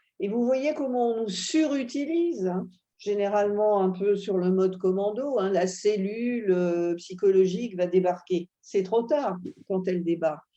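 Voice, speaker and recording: With a dark, mellow tone, a woman at medium pitch uses lively intonation at a fairly slow pace. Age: 70s. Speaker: psychoanalyst. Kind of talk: interview.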